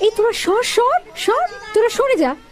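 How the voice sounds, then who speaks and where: Using a put-on character voice, a woman squeaks at an extremely high pitch and a moderate pace. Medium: audio drama. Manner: warm, affectionate, bossy.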